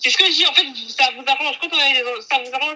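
A woman with a high pitch speaks at a very fast pace. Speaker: podcast guest, host's cousin. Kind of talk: casual chat.

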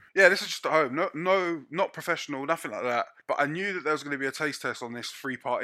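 Speaking very fast, a man uses a bright, sharp tone with animated delivery and ordinary pitch variation. The recording is very clean, with a silent background. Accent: London. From North London. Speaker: chef. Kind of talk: casual chat.

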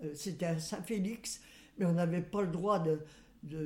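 A woman speaks at a moderate pace in a fairly low pitch, somewhat breathy. Her tone is dark and mellow, with ordinary pitch variation. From western France, Loire-Atlantique. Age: 90s. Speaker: great-grandmother interviewee. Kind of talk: life-story interview. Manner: halting.

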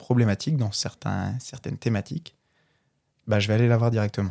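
On a very clean recording with a silent background, a somewhat breathy man speaks at a medium pitch and a fairly quick pace. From Brittany, France. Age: 20s. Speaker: podcast guest, clothing brand founder. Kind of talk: casual interview.

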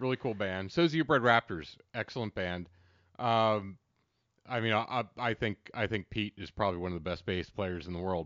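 In an unremarkable speaking voice, a man with an American accent talks at a moderate pace and a fairly low pitch. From central Pennsylvania. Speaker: podcast co-host. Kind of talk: reading aloud; casual chat.

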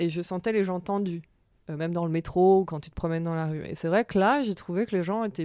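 A woman's fairly low voice, dark and mellow in tone, with ordinary pitch variation, on a very clean recording against a silent background. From France. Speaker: jazz singer. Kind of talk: interview.

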